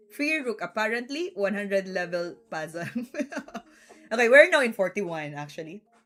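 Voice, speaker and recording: At a moderate pace and medium pitch, a woman with a Filipino accent speaks in an animated tone, with very wide pitch swings and big swings in loudness. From Philippines. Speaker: chess streamer. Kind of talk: live stream commentary.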